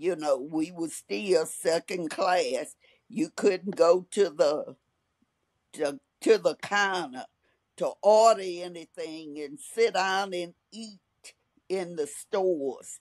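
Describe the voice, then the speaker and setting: Very slowly and with big swings in loudness, a woman talks in a fairly low pitch with ordinary pitch variation, in a dry sound with no echo over a quiet background. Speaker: interviewee. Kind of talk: interview answer. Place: home room. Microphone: video call.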